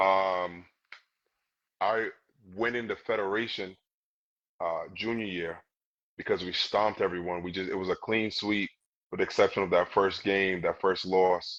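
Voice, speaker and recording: Against a quiet background, a man with an American accent talks at a moderate pace with long, frequent pauses. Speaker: former basketball player. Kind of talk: casual interview.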